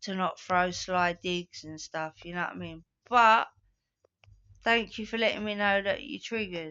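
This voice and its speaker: A woman with a fairly low pitch talks at a moderate pace with fairly even intonation. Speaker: vlogger. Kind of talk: casual monologue. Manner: monotone.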